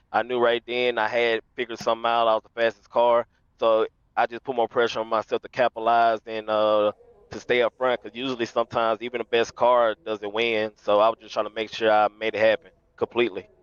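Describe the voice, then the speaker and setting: Dry and close with no echo, a man of medium pitch talks at a very fast pace with a Louisiana accent. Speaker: sim race winner. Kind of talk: post-race interview. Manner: energetic.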